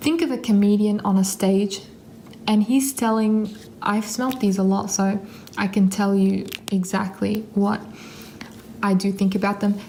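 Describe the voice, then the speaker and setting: Against noticeable background noise, a woman at medium pitch speaks at a fairly slow pace with fairly even intonation, very even loudness and long, frequent pauses. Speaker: perfume reviewer. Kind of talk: casual video review.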